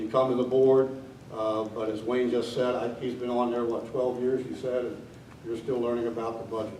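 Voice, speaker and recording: A man with an American accent speaks at a moderate pace and medium pitch, with audible room echo and noticeable background noise. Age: 70s. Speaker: election candidate, retired teacher, war veteran. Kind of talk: candidate forum speech. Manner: frequent filler 'uh' hesitations.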